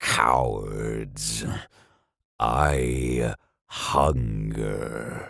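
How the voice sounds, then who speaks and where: Booming at a very deep, low pitch, a man performs a put-on character voice. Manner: bellowing, menacing.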